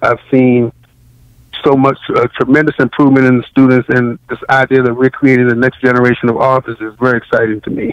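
A man with an American accent talks at a fairly quick pace in a monotone, flat intonation at medium pitch, the sound dry and close with no echo. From Washington, D.C. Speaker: professor and novelist. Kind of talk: interview.

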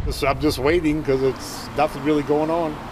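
Someone talks at a fairly quick rate while noticeable background noise stays audible. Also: man. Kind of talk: interview answer. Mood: relaxed, chatty. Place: street. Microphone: handheld.

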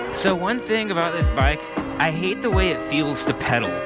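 Loud music plays in the background as a man speaks at a moderate pace. The sound is dry, with no echo. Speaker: rider vlogger. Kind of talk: casual vlog chat. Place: street.

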